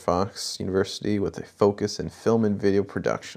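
On a very clean recording with a silent background, a man with an ordinary speaking voice and fairly low pitch talks at a moderate pace. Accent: American. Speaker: film student and director. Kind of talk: casual interview.

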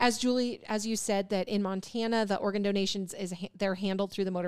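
Using a normal speaking voice, a woman at a medium pitch talks at a fairly quick pace. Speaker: podcast co-host. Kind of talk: casual chat.

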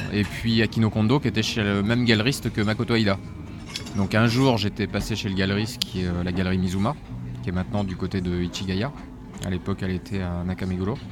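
The speech comes at a very fast pace. There is noticeable background noise. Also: man, fairly low pitch for a man, ordinary pitch variation. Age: 40s. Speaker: manga publisher. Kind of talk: interview. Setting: live in a record store. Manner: hesitant, many fillers.

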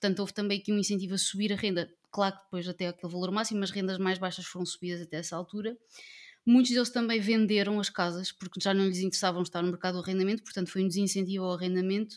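Talking at a very fast pace, a woman holds a medium pitch with monotone, flat intonation. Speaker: political party representative, panelist. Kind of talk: political panel discussion.

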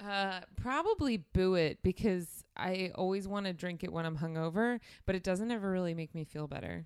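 A woman's medium-pitched voice, an ordinary speaking voice, at a moderate pace with hardly any pauses, on a very clean recording with a silent background. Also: ordinary pitch variation. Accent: American. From South Jersey, US. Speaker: podcast guest, sports fan. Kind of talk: casual chat.

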